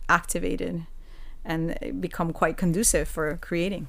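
A woman talks at a fairly slow pace. Audible room echo surrounds her voice. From Puerto Rico. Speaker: dance lecturer and dance movement therapist. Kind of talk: casual interview.

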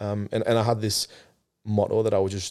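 In a very clean recording with a silent background, a man speaks in a fairly low, monotone, flat voice. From northern England, Sunderland. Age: 30s. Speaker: mental health charity founder. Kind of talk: interview. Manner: halting, with repetitions.

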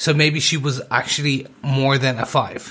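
A man with an Irish accent speaks in a bright, sharp tone. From Ireland. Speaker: podcast co-host. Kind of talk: casual chat.

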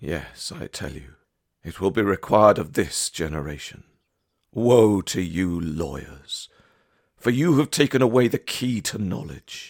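Very wide pitch swings and vocal fry mark this man's voice at a fairly slow pace. It is a very clean recording with a silent background. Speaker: prayer leader. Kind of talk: devotional reading and litany prayer. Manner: measured, reverent litany cadence, repeating each refrain; earnest, fervent pleading.

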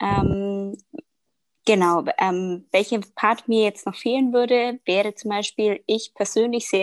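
In a very clean recording with a silent background and a dry, close sound with no echo, a woman speaks fairly slowly at a fairly high pitch with ordinary pitch variation. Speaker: communications manager. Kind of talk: casual interview, exam-style discussion practice. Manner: hesitant, many filler sounds.

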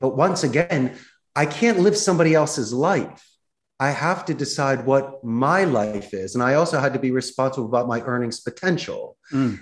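Moving at a moderate pace with lively intonation, an ordinary speaking voice talks in an American accent. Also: man, fairly high pitch for a man. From Philadelphia, US. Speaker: business owner living abroad. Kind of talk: casual interview.

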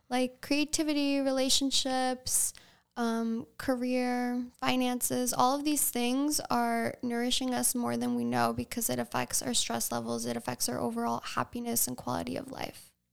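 A woman with an American accent at a moderate pace, with hardly any pauses. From Long Island, New York (East Hampton area). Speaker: health coach and vintage shop owner. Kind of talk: casual chat.

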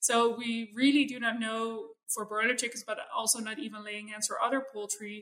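Speaking in a Dutch accent, a woman with a fairly high pitch and a bright, sharp tone keeps a flat, monotone intonation at a moderate pace. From Netherlands. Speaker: animal welfare scientist. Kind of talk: interview.

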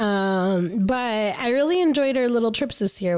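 On a very clean recording with a silent background, a woman uses an ordinary speaking voice at a moderate pace with ordinary pitch variation. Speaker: podcast host. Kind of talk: casual chat.

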